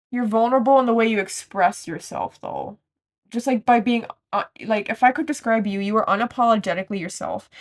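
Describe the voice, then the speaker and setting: A woman's fairly high voice at a fairly quick pace, with ordinary pitch variation. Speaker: tarot card reader. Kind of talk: pick-a-card tarot reading. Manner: loud; casual, rambling with false starts.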